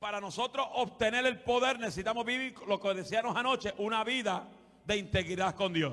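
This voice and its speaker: In an animated tone, a man speaks at a high pitch with ordinary pitch variation. His tone is bright and sharp. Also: moderate pace. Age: 40s. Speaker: guest preacher. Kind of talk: sermon. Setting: church with congregation. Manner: loud.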